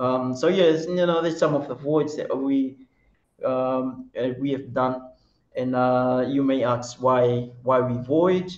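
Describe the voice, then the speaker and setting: Audible room echo surrounds a man speaking at a very slow pace. His pitch is medium and his intonation fairly even. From Fiji, Lau group; Fiji. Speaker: traditional canoe sailing captain; webinar presenter. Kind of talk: webinar presentation. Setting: video call. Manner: halting. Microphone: webcam.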